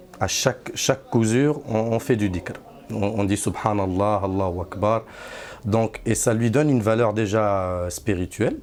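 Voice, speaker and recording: A man in a Moroccan accent, fairly low in pitch with ordinary pitch variation, at a fairly slow pace. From Morocco. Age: 30s. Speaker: Sufi disciple. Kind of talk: testimony. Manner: halting, many hesitations and repeats.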